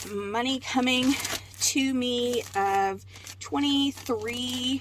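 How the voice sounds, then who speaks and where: Noticeable background noise fills the recording. Through it, a woman's voice comes across. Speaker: online reseller. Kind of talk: casual vlog narration. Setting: in a car. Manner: hesitant, many fillers.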